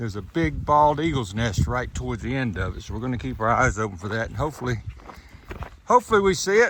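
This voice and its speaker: Speaking very fast with a North Carolina accent, a man swings widely in pitch and uses vocal fry. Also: medium pitch for a man. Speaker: hiking vlogger. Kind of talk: casual vlog narration. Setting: outdoors on trail.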